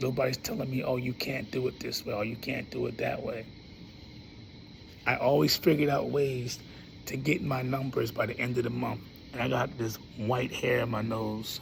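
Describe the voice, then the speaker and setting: A man talks at a moderate pace with fairly even intonation and long, frequent pauses. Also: medium pitch for a man. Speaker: cancer survivor. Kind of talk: casual talk to camera. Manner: casual, conversational.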